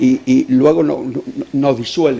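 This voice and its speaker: Noticeable background noise fills the recording. Over it, a man talks with lively intonation. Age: 60s. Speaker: audience member, retired cook. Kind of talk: public Q&A question. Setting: lecture hall with audience. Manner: impassioned.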